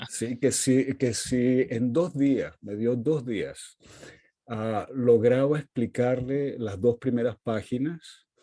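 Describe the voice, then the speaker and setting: Speech moves at a very slow pace. The tone is dark and mellow, and the pitch varies in an ordinary way. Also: man, medium pitch for a man. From Venezuela (Caracas), Portuguese-speaking family. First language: Portuguese (speaking Spanish). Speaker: literary critic and professor. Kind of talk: interview conversation.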